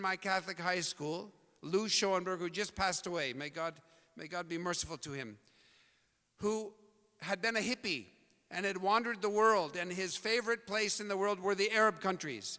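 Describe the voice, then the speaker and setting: Raised and projected, a man's voice sounds bright and sharp at a high pitch. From US Pacific Northwest, Portland, Oregon. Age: 60s. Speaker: speaker at community event. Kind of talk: talk to audience.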